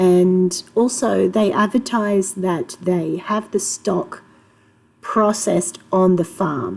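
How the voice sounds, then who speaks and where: A woman in an Australian accent, at a medium pitch with ordinary pitch variation, very even loudness and a very slow pace. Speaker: homemaker. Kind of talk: casual talk to camera.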